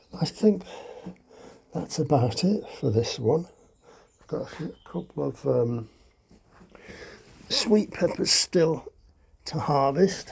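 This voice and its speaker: This man has a fairly high pitch and vocal fry, and his lively intonation and big swings in loudness come at a very slow pace, broken by long, frequent pauses. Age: 70s. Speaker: allotment gardener. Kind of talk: casual walkthrough vlog. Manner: hesitant, many fillers.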